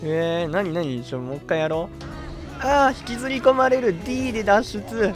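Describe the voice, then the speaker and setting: There is music in the background. The speech moves at a moderate pace. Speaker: game streamer. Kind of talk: casual let's-play commentary.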